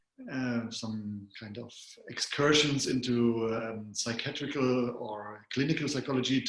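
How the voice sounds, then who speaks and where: Noticeable background noise sits behind a man with a German accent speaking at a medium pitch. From Germany. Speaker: psychologist and coach. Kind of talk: interview.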